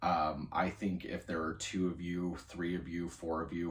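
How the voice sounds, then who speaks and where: This man talks in a very deep, low pitch with monotone, flat intonation and a somewhat breathy quality. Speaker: college student. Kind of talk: video journal entry, casual monologue. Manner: casual, many fillers.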